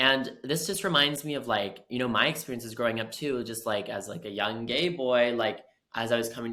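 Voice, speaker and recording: He talks at a fairly quick pace, and the speaker is a man. His is an ordinary speaking voice, medium in pitch. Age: 20s. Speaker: podcast co-host. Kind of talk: podcast interview.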